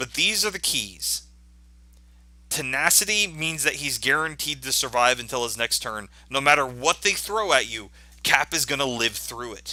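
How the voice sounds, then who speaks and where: A man's medium-pitched voice with lively intonation and a bright, sharp tone, on a very clean recording with a silent background. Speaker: gaming video creator. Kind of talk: game strategy tutorial. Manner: fast.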